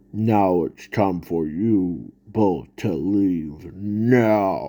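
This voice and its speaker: Using a put-on character voice, a man speaks very slowly at a fairly low pitch. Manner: demonic.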